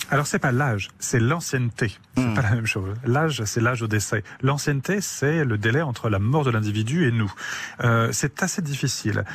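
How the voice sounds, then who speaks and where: This man speaks at a medium pitch and a moderate pace, with ordinary pitch variation. His loudness stays very even, and the voice is somewhat breathy. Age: 40s. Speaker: forensic anthropologist. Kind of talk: radio interview. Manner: halting, frequent repetitions.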